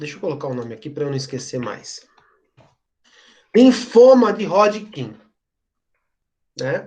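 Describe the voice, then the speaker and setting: Long pauses come often as the speaker talks at a fairly slow pace. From São Paulo, Brazil. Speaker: teacher. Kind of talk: lecture. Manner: conversational.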